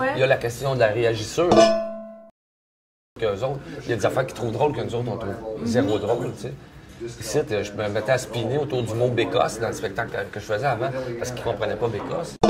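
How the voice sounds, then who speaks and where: Speaking at a very fast pace yet with long, frequent pauses, a man with a Quebec accent holds a medium pitch and fairly even intonation. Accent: Québécois French. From Quebec, Canada. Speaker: storyteller. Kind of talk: interview answer. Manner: casual, colloquial.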